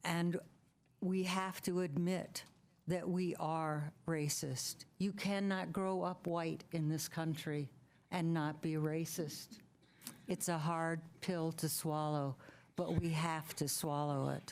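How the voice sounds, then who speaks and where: A woman with a fairly low pitch speaks at a very slow pace, her loudness very even and her intonation fairly even. The recording is very clean against a silent background. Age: 70s. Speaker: public commenter at council meeting. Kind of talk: public comment. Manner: hesitant, with fillers.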